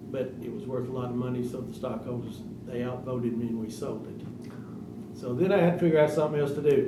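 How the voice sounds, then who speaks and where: Fairly quick speech in a Tennessee accent with ordinary pitch variation, audible room echo and noticeable background noise. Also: man. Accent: Southern US (Tennessee). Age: 70s. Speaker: retired pharmacist. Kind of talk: public comment at a county meeting. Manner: halting, repeats words.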